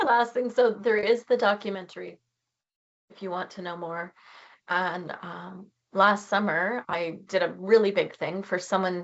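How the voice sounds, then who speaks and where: A woman with a Canadian accent has an ordinary speaking voice at a medium pitch, speaking at a fairly slow pace. Her intonation is fairly even, though her loudness swings widely. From Canada. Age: 50s. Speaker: charity founder. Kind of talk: presentation.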